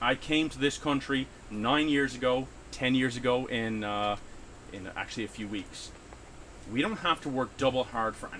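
This man talks at a moderate pace with medium pitch and ordinary pitch variation. He takes long, frequent pauses, and his loudness swings widely. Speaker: union worker. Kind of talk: casual chat.

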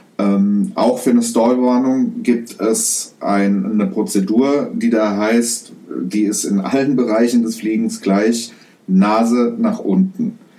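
The speech comes at a very slow pace, with noticeable background noise and audible room echo. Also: man. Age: 30s. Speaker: podcast host, private pilot. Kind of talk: explanatory solo podcast narration. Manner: casual with frequent fillers.

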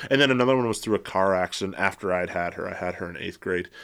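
Heard on a very clean recording with a silent background, a man speaks in a plain, everyday voice. His pitch is fairly low, with ordinary pitch variation. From Michigan, Metro Detroit. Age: 30s. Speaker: therapist and professor. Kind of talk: casual interview conversation. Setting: studio with headphones and mics.

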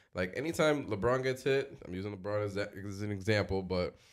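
On a very clean recording with a silent background, a man with an unremarkable speaking voice talks at a fairly low pitch and fairly quick pace with lively intonation. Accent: American. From Dominican heritage, US. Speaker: podcast co-host. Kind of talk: casual chat.

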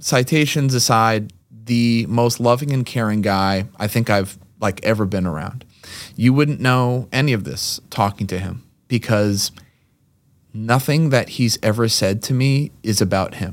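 A normal speaking voice talks at a fairly slow pace with ordinary pitch variation. The recording is very clean, with a silent background. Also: man, medium pitch for a man. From Massachusetts, Lexington (Boston area). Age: 30s. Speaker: gym owner and former kindergarten teacher. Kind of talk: casual chat.

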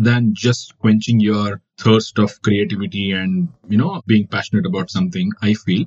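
In a Kannada accent, the voice sounds somewhat breathy at a moderate pace. Its pitch swings very widely. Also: man. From India, Karnataka. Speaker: wildlife photographer. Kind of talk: interview.

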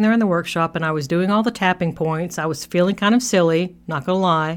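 A woman's fairly low-pitched voice at a fairly quick pace, with ordinary pitch variation, on a very clean recording with a silent background. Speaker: podcast host and therapist. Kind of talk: solo podcast monologue. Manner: loud when excited; laughs often.

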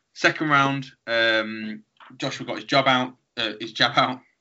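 A man's medium-pitched voice in a Birmingham accent, fairly slow and fairly even in intonation. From Birmingham, England. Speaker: podcast host. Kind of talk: casual chat.

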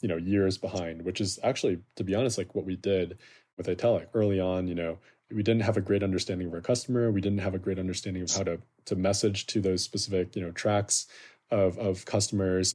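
In a very clean recording with a silent background, a man talks at a very fast pace with an American accent. His very deep, low voice has a dark, mellow tone and monotone, flat intonation. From US Midwest, Chicago. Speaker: startup founder. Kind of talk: interview.

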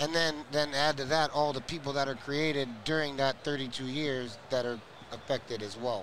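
A man has an unremarkable speaking voice with a fairly high pitch. He talks at a moderate pace with fairly even intonation. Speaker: nephew of former prisoner, advocate. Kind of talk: casual interview.

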